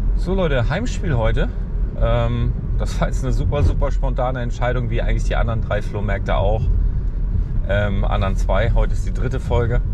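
A man talks at a fairly quick pace in a dry recording with no echo, amid loud background noise. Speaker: flea market vlogger. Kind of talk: casual vlog chat. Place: car. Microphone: phone near.

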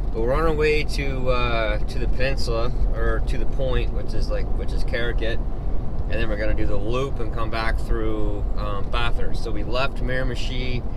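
Loud background noise runs under speech that has hardly any pauses. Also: moderate pace, dry sound with no echo. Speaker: driver vlogger. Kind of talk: casual vlog chat. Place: car. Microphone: camera far.

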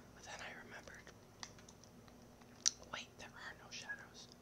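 Loud background noise runs under speech at a moderate pace. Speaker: gamer. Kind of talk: gaming commentary.

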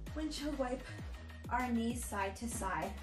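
Clear music plays behind a woman speaking at a fairly slow pace. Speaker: fitness instructor. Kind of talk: workout instruction. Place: home room.

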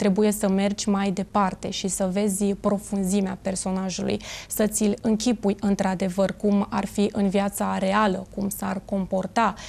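The woman speaks at a fairly slow pace. Her intonation is monotone and flat. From Romania, Craiova; Romania. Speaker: amateur actress, event entertainer; amateur actress. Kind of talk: TV interview. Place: studio. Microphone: lapel.

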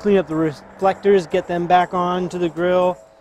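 A man at a moderate pace, with music in the background and a dry sound with no echo. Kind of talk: casual vlog chat. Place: garage.

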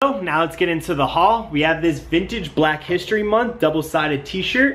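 Against light background noise, a man speaks with lively intonation. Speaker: vintage clothing reseller vlogger. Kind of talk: casual vlog chat. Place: home room. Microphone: phone near.

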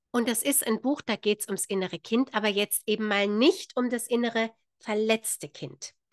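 Against a quiet background, a woman speaks at a moderate pace. Her pitch varies in an ordinary way. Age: 50s. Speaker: spiritual author and channel host; spiritual coach. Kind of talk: casual vlog monologue; guided meditation. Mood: warm, calm. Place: home room. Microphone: studio mic.

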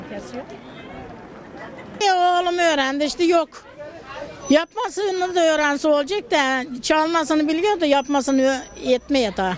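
A woman speaks high in pitch with lively intonation and big swings in loudness. Crowd noise fills the background, and the sound is dry with no echo. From Turkey, Denizli (Teke region, Yörük); Denizli, Turkey. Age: 70s. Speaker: folk musician. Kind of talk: interview. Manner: casual. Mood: earnest, wistful about her craft. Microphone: handheld.

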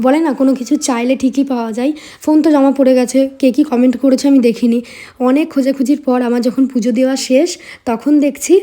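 In a high pitch with a dark, mellow tone, a woman speaks with monotone, flat intonation. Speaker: vlogger. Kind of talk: travel vlog narration. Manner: chatty, conversational.

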